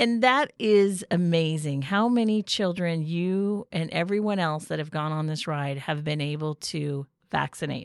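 Her pitch fairly low, a woman speaks at a fairly slow pace with ordinary pitch variation and hardly any pauses, in a very clean recording with a silent background. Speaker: podcast host. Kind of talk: casual interview. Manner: upbeat, enthusiastic.

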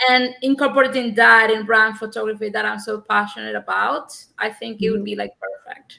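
A woman's fairly quick speech in a Spanish accent, with hardly any pauses and big swings in loudness. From Cuba. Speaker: photographer. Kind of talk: interview. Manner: halting.

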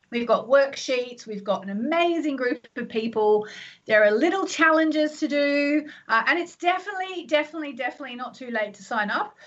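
Lively intonation and an animated tone mark this fairly quick delivery. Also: woman, high pitch for a woman. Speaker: astrologer and radio host. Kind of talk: live call-in radio show. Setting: home office.

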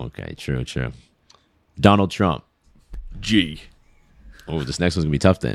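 A man with a very deep, low pitch talks at a moderate pace, with lively intonation, vocal fry, big swings in loudness, and long, frequent pauses. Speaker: podcast host and YouTuber. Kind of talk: casual interview chat.

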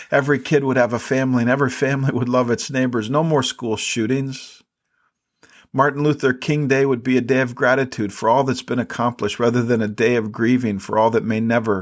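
A man with a plain, everyday voice speaks at a fairly quick pace, at a medium pitch and with fairly even intonation. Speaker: podcast host and Bible teacher. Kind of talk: fervent closing prayer, spoken aloud to God, earnest and pleading; devotional teaching, scripture study talk.

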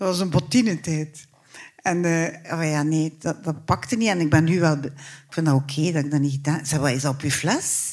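A woman with a Flemish accent, very deep and low in pitch, at a fairly quick pace with ordinary pitch variation. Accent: Flemish Dutch. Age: 60s. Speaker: writer and theatre maker. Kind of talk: live interview before audience. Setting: stage with audience. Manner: halting.

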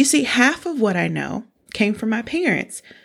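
Here is a woman with a plain, everyday voice and an American accent. She talks at a moderate pace with lively intonation. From small-town US. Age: 40s. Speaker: podcast host, personal finance educator. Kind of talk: scripted narration.

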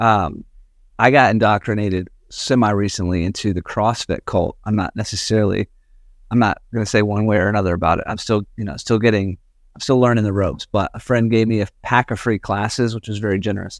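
A man with an American accent talks at a fairly quick pace in a plain, everyday voice, fairly low in pitch with fairly even intonation, on a very clean recording with a silent background and a dry, close sound with no echo. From US South. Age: 40s. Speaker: pastor. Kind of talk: casual chat.

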